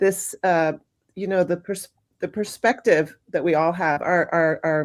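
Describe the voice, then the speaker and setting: Speaking fairly slowly at a fairly low pitch with fairly even intonation, a woman has a plain, everyday voice on a very clean recording with a silent background. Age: 50s. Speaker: documentary filmmaker. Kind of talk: live panel discussion.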